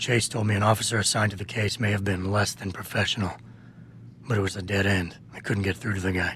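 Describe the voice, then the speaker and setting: A man does a raspy, put-on character voice at a very fast pace with a fairly low pitch. Clear background noise is present. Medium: video game. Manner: low, terse, measured.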